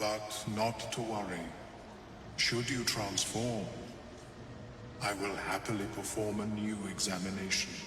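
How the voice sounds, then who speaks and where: A man's put-on character voice, fairly low in pitch, at a fairly slow pace with long, frequent pauses, clear echo and loud background noise. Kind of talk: eerie telepathic speech. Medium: video game. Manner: detached, precise.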